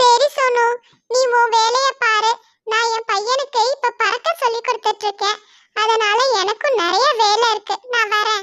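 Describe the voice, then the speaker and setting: A cartoonish character voice, female-sounding, is pitched extremely high. It moves at a fairly slow pace. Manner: whiny, sly.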